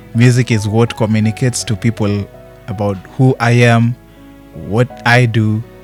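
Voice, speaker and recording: With music in the background, a man speaks at a fairly slow pace in a medium pitch and fairly even intonation. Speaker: singer. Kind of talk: interview answer. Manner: soft-spoken.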